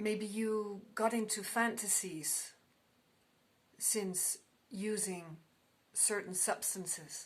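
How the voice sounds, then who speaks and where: A woman with a non-native accent speaks in a fairly high pitch with fairly even intonation. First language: not English. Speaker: tarot card reader. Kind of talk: tarot reading. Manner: halting.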